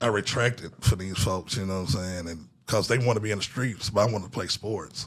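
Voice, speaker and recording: A man talks in an ordinary speaking voice at a fairly quick pace with hardly any pauses. His pitch is fairly low, with ordinary pitch variation. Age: 40s. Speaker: podcast host. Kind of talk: casual chat.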